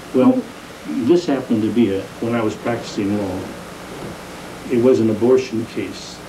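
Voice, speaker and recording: A man's medium-pitched voice with an American accent, fairly even intonation and a moderate pace, plus audible room echo and noticeable background noise. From San Jose, California. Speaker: retired judge. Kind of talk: oral history interview. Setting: at home. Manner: halting.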